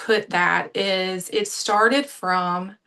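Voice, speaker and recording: Speaking very slowly with an American accent, a woman has a medium-pitched voice with a bright, sharp tone. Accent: Southern US, lighter than it used to be. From US South, Savannah, Georgia. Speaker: manifestation coach. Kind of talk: online interview.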